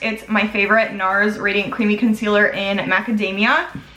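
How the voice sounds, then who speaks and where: Over music in the background, a woman with an American accent speaks at a moderate pace. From US Midwest, Chicago. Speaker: beauty vlogger. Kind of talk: makeup tutorial and Q&A chat. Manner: casual, chatty.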